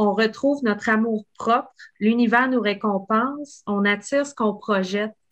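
At a fairly slow pace, a woman with fairly high pitch and ordinary pitch variation talks in an unremarkable speaking voice. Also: quiet background. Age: 40s. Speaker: podcast host. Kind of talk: casual interview.

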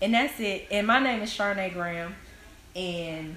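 A woman with a fairly low voice is heard through audible room echo and noticeable background noise. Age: 20s. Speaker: guest, social media personality. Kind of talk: casual chat.

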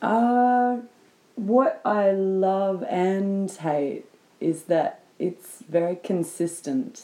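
A woman speaks with an Australian accent at a very slow pace. Her medium-pitched voice has a dark, mellow tone. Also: ordinary pitch variation. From Sydney, Australia. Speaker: guest. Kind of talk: casual chat. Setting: sitting on the floor at home.

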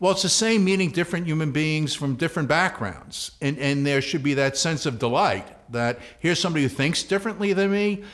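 A man with a New York accent speaks at a fairly quick pace, his voice fairly high and his intonation lively. His loudness stays very even, and the recording is very clean with a silent background. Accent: New York City. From New York City, the Bronx. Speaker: university president. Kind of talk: interview. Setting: studio.

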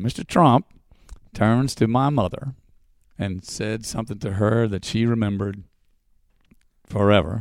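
Moderate pace, ordinary pitch variation, an American accent and long, frequent pauses on a very clean recording with a silent background. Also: man, fairly low pitch for a man. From Texas. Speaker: stage performer and show creator. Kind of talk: interview. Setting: theater. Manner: halting with many fillers.

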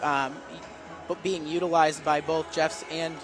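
A man talks in a fairly high voice. Noticeable background noise runs through the clip. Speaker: restaurant employee. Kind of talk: on-air interview. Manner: upbeat, many um fillers.

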